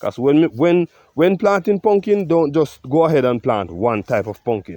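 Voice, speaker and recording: With a Jamaican accent, a man talks at a moderate pace in a fairly high voice of dark, mellow tone, his pitch swinging very widely in a dry, close sound with no echo. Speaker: farmer. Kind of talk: farm vlog walkthrough. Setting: outdoors.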